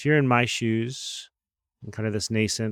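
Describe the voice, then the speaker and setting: A normal speaking voice moves at a fairly quick pace in a very clean, dry, close recording with no echo and a silent background. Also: man. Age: 40s. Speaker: podcast host, sports team CEO. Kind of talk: interview hosting. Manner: upbeat.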